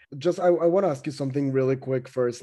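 A speaker with a Spanish accent, using ordinary pitch variation. The background is quiet. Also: man. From Mexico. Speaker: podcast co-host. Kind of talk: interview.

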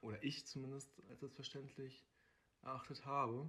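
The voice belongs to a man and has a bright, sharp tone. He keeps to a moderate pace. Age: 20s. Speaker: social worker. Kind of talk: casual interview.

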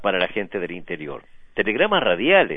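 This man's voice moves in very wide pitch swings. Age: 80s+. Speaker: veteran local radio broadcaster. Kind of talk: interview.

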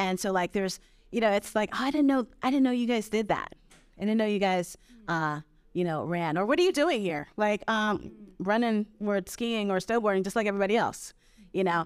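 A woman with an American accent and an ordinary speaking voice talks at a fairly quick pace and medium pitch, with ordinary pitch variation, in a very clean recording with a silent background. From Brooklyn, New York. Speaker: ultrarunner and outdoor advocate. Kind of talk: live podcast conversation. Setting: live stage with audience.

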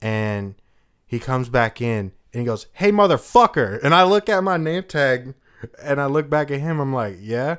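With an American accent, the voice moves at a moderate pace through very wide pitch swings. The recording is very clean, with a silent background. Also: man, fairly high pitch for a man. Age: 20s. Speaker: podcast host. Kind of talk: casual chat.

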